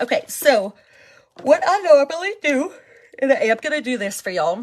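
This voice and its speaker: A woman's lively intonation carries through noticeable background noise. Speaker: skincare seller and vlogger. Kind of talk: casual live-stream product demo. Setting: live stream.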